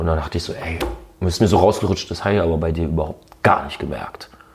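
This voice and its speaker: Speaking at a very fast pace with fairly even intonation, a man is heard over noticeable background noise. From Berlin. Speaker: rapper and radio host. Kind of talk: casual interview. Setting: at his home.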